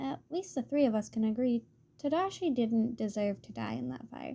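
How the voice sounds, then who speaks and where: In a very clean recording with a silent background, a woman speaks at a moderate pace in a fairly high, somewhat breathy voice with a dark, mellow tone. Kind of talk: story reading. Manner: uses a raised, higher-pitched voice on purpose.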